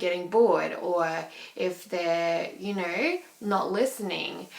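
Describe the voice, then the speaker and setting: The speech moves at a very slow pace. Noticeable background noise and audible room echo are present. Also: woman. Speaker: vlogger. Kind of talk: personal video diary. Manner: animated.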